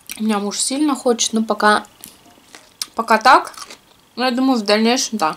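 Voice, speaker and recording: Her pitch varies in an ordinary way while the woman keeps a moderate pace. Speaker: food vlogger. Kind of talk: casual vlog chat while eating. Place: home room. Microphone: camera far.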